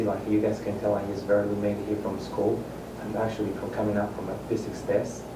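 A man with a Spanish accent speaks at a fairly low pitch. Noticeable background noise and audible room echo are present. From Mexico City, Mexico. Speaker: resident addressing city council. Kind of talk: public comment. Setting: council chamber. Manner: halting.

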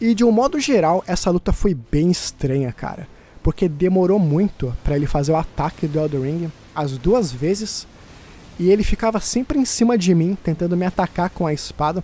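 A man with a Brazilian accent speaks at a moderate pace in a high pitch, his dark, mellow tone carrying lively intonation. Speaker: gaming YouTuber. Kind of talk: gameplay commentary narration. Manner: casual, conversational.

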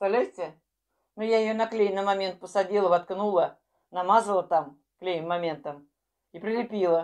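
A woman talks with ordinary pitch variation at a moderate pace, the background quiet. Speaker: vlogger. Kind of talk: casual vlog chat. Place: kitchen. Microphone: earbuds.

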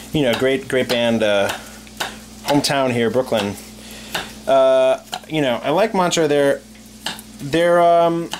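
The speech moves at a fairly slow pace with long, frequent pauses. Light background noise is audible. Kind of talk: casual chat while cooking. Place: kitchen. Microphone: camera far.

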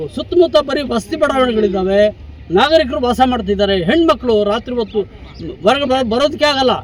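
With lively intonation, a man speaks at an extremely high pitch over noticeable background noise. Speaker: retired head teacher. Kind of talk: protest interview statement.

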